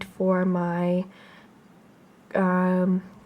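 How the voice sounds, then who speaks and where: Soft-spoken, with a dark, mellow tone and a Canadian accent, on a very clean recording with a silent background. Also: woman. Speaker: booktuber. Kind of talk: casual chat. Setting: at home, beside front door.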